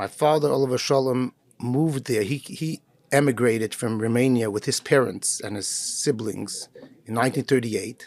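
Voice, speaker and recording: With an ordinary speaking voice, a man talks at a moderate pace and medium pitch with ordinary pitch variation. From Canada, Montreal. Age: 60s. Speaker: rabbi. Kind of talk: interview.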